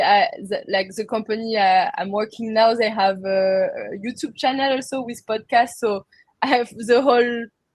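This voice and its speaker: Using a French accent, a woman talks at a moderate pace in a fairly high voice with fairly even intonation. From France. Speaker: crypto industry worker and entrepreneur. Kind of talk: interview conversation. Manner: halting.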